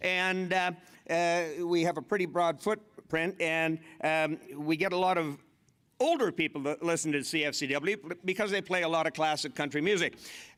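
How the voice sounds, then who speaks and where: Speaking with a Canadian accent, a man has a high-pitched voice. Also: moderate pace, very even loudness. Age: 60s. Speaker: master of ceremonies and former radio host. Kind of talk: stage comedy storytelling. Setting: stage with audience at a convention. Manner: animated.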